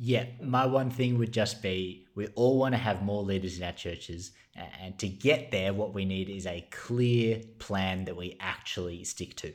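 An Australian-accented man with a fairly low pitch, ordinary pitch variation, and a fairly slow pace with hardly any pauses. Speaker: ministry resources manager. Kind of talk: podcast interview.

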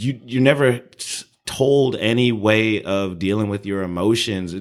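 Lively intonation marks the man's speech. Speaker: podcast co-host. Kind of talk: casual chat. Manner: loud.

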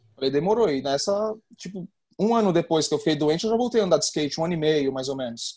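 Against a quiet background, a man talks at a very fast pace in a fairly high, dark, mellow voice with lively intonation. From São Paulo, east zone. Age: 30s. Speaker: professional skateboarder. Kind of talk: interview.

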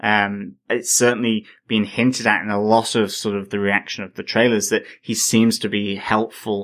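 The recording is very clean, with a silent background. A man speaks at a moderate pace with a fairly low pitch and fairly even intonation. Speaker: podcast co-host. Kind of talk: casual chat. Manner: rambling, hesitant with many fillers.

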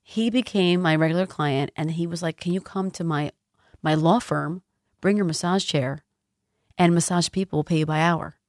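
In a very clean recording with a silent background and a dry, close sound with no echo, a woman with an American accent speaks in a normal speaking voice at a moderate pace, her pitch fairly low with ordinary variation. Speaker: spa owner and massage therapist. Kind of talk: interview.

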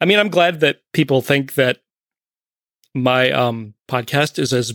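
The recording is dry and close, with no echo. A man talks at a medium pitch. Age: 40s. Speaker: podcaster guest. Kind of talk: casual chat.

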